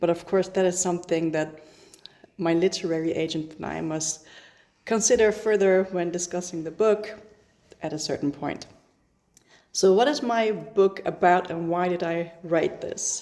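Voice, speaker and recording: A woman's dark, mellow tone at a fairly low pitch, moderate pace, with long, frequent pauses. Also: ordinary pitch variation. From Netherlands (Iranian-born). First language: Persian or Dutch. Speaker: author. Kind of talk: casual vlog. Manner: hesitant, with fillers.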